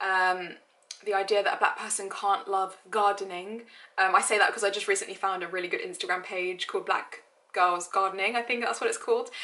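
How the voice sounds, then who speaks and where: A woman's bright, sharp voice at medium pitch, fairly quick in pace, with fairly even intonation. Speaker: lifestyle blogger. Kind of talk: vlog monologue. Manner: casual, with frequent um fillers.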